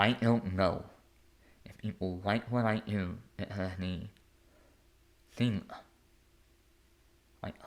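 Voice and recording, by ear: A man talks at a slow pace in a fairly low pitch. His intonation stays fairly even, broken by long, frequent pauses.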